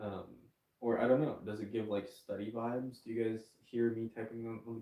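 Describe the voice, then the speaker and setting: A man speaks at a medium pitch and a moderate pace. His tone is dark and mellow. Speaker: livestreamer. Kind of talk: casual livestream chat. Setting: bedroom livestream. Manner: quiet, hushed; halting, many fillers.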